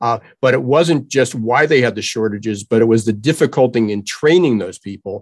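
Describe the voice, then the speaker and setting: Fairly quickly, a man talks with an ordinary speaking voice. His medium pitch shows ordinary variation. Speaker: workforce trends commentator. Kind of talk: interview.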